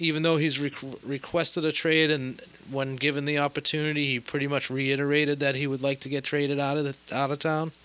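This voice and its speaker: Flat and monotone, a man speaks at a fairly quick pace in a bright, sharp tone. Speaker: podcast host.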